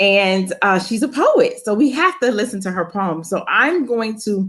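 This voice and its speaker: Fairly slow and fairly high-pitched, a woman with a plain, everyday voice speaks with lively intonation. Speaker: college professor and interview host. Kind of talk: casual interview host talk.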